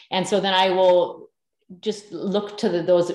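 A woman speaks with a Canadian accent. Audible room echo surrounds her voice. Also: quiet background. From Canada, northern British Columbia. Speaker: sourdough baking teacher; podcast guest, baking teacher. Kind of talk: casual interview. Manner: animated. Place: home room. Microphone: video call.

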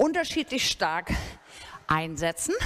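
A woman speaks. Her pace is fairly slow. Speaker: fitness instructor. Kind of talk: workout instruction. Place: gym.

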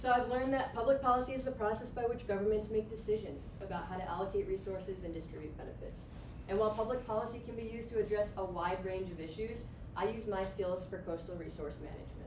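Through noticeable background noise, a woman with an American accent talks very fast with ordinary pitch variation. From upstate New York. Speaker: graduate student; presenter. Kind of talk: presentation. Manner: lively, laughing often. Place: classroom. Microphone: camera far.

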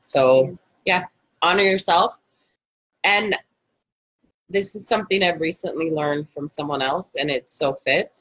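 Against a quiet background, a woman talks at a fairly slow pace in a fairly low pitch with ordinary pitch variation, leaving long, frequent pauses. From Canada. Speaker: energy healer and life coach; life coach. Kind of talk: live guided healing session. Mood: warm, gentle, conversational. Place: home room. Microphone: video call.

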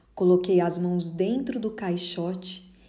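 Her voice is dark and mellow, somewhat breathy, as this woman speaks at a very slow pace. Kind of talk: dramatic first-person narration of a life story, theatrical and nostalgic. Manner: slow, expressive, wistful and measured.

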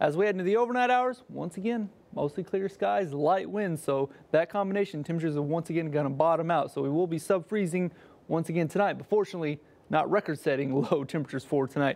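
This man talks at a very fast pace in a high voice with an American accent. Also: ordinary pitch variation. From Oklahoma, Kingfisher. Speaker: TV weather forecaster. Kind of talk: weather forecast. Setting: TV studio. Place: studio.

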